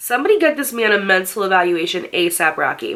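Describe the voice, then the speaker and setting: The voice sounds animated, with very wide pitch swings. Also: woman. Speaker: storytime YouTuber. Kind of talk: reading aloud a viewer submission with commentary; casual reaction commentary. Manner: animated, exclamatory.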